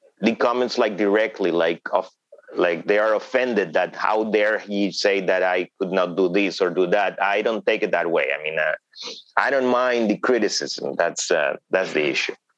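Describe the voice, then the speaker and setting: Speaking at a moderate pace with a Spanish accent, a man is recorded with a dry, close sound and no echo. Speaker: thriller novelist. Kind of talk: interview. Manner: hesitant with fillers.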